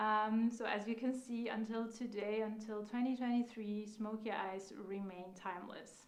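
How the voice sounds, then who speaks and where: Noticeable background noise sits behind a woman with a non-native accent and a fairly high pitch. She talks with hardly any pauses in a monotone, flat intonation. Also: moderate pace. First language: not English. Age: 30s. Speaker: makeup instructor. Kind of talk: live online class. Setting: live stream. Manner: halting, frequent fillers.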